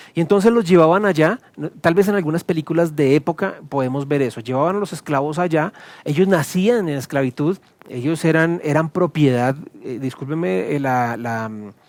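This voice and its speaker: A man talks at a fairly high pitch. The sound is dry and close, with no echo. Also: lively intonation. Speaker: pastor. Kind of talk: sermon. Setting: recorded video teaching to camera. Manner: fast.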